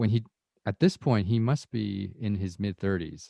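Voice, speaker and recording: At a moderate pace and with ordinary pitch variation, the dark, mellow voice speaks in a Canadian accent, recorded dry and close with no echo. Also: man. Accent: general Canadian English. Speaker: podcast host. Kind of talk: interview.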